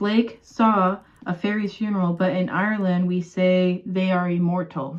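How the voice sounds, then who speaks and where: The speaker is soft-spoken, using a fairly slow pace and ordinary pitch variation. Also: woman. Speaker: ASMR creator. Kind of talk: ASMR talk to camera.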